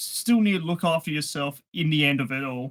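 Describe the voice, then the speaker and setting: A man speaks in an Australian accent with a high pitch. His pitch varies an ordinary amount. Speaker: card game player. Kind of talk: casual chat.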